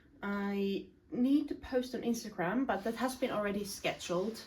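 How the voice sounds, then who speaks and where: Noticeable background noise surrounds this woman's voice. She talks at a moderate pace, her pitch varying in an ordinary way. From Finland. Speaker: self-improvement content creator. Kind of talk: casual vlog talk to camera.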